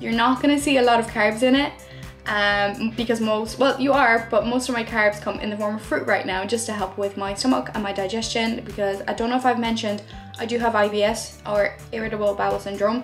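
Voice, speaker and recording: Faint music plays in the background. A woman talks at a fairly quick pace. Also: fairly even intonation. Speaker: fitness vlogger. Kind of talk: casual vlog chat. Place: home room. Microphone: phone near.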